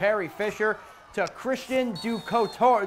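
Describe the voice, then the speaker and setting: The man's tone is energetic. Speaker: sports reporter. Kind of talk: sports commentary narrating game highlights. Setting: TV studio. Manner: energetic, brisk play-by-play. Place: studio.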